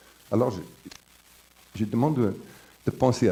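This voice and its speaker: Here is a man with an English accent. His tone is dark and mellow, with ordinary pitch variation. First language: English (speaking French). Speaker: professor, conference speaker. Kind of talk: conference lecture. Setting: conference with audience. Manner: halting, with repetitions and fillers.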